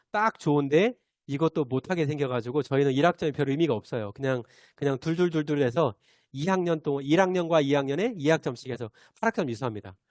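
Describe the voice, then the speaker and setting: Talking at a very fast pace with lively intonation, a man's fairly high voice sounds dry and close with no echo over a quiet background. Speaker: teacher giving teacher training. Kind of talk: online training lecture. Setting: video call. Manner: hesitant fillers.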